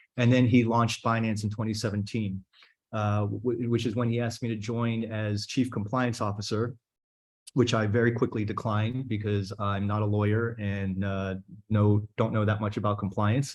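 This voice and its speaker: A man with an American accent speaks at a fairly low pitch in a monotone, flat intonation against a quiet background. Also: moderate pace. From United States. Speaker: crypto investor. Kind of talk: fireside chat talk.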